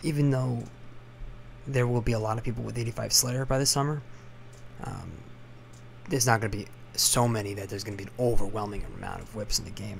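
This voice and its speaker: A man whispers at a very fast pace. His voice is quiet. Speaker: gaming commentator. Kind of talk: game commentary. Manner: whispered, quiet.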